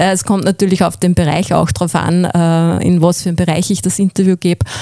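With vocal fry and a dark, mellow tone, a woman speaks at a fairly low pitch and fairly quick pace, with ordinary pitch variation, very even loudness, and a dry, close sound with no echo. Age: 40s. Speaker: voice-over artist and former radio presenter. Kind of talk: interview.

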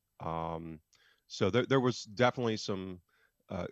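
With an American accent, a man speaks in an ordinary speaking voice at a moderate pace, using ordinary pitch variation. The sound is dry and close with no echo, against a quiet background. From United States. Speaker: football analytics podcaster. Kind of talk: interview.

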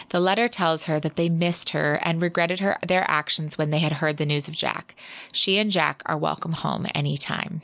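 With vocal fry and an animated tone, a woman of fairly low pitch speaks at a moderate pace. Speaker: podcast host, romance book reviewer. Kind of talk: casual chat, book review, with some dramatic reading of passages. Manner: animated, laughs often.

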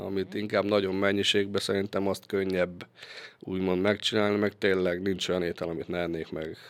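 The man's pitch is very deep and low. He talks in a monotone, flat way. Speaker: sports physiotherapist and masseur, former footballer. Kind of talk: interview. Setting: studio. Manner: halting.

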